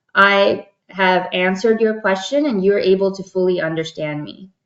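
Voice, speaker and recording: At a moderate pace and medium pitch, a woman talks in a normal speaking voice. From born in Dubai, Pakistani American. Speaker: diversity consultant. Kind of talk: workshop talk answering a question. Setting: video call webinar. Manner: conversational with frequent fillers.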